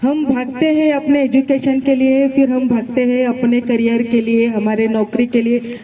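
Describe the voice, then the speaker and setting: A woman speaks in a high pitch with a non-native accent and fairly even intonation over noticeable background noise. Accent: non-native Hindi. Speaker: gynecologist giving motivational speech. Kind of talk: motivational speech.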